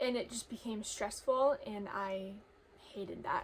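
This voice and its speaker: A woman with a normal speaking voice, moderate in pace, with ordinary pitch variation. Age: young. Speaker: farm and livestock vlogger. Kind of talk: personal storytime vlog.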